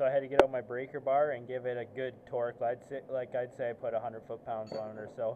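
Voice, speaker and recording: Delivered at a moderate pace in a flat monotone, the voice comes over light background noise. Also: man. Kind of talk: tutorial. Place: garage. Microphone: phone near.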